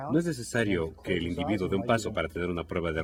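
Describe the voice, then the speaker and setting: Very wide pitch swings mark this man's speech. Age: 60s. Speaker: physician demonstrating a neurological exam. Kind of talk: clinical teaching demonstration.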